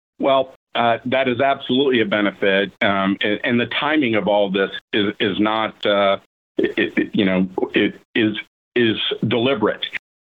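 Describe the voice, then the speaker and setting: This is a plain, everyday voice at a moderate pace with ordinary pitch variation. Its loudness stays very even. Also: man, medium pitch for a man. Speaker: program director. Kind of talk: interview answers, explanatory. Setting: video call.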